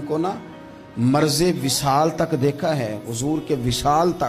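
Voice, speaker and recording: A man's fairly high voice with music in the background. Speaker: Islamic preacher. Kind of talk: religious sermon in Urdu. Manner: emotional, passionate, storytelling.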